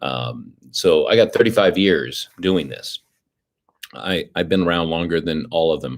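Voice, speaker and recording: A man's voice sits very deep and low, with vocal fry. He speaks at a moderate pace. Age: 60s. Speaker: president of a test prep company and podcast host. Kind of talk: live-stream podcast Q&A. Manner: conversational with frequent fillers and restarts.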